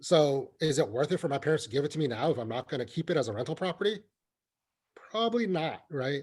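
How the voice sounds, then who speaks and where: A man with an American accent talks at a very fast pace with a fairly high pitch. His voice is somewhat breathy, with lively intonation. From US, California Bay Area (refugee from Vietnam as toddler). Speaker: county assessor. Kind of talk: webinar Q&A answer. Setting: online webinar. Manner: conversational, frequent fillers and repetitions.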